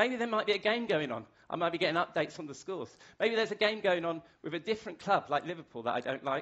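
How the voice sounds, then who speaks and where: A man with a British accent speaks at a very fast pace, his pitch high for a man. His intonation is lively. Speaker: masterclass speaker. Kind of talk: lecture.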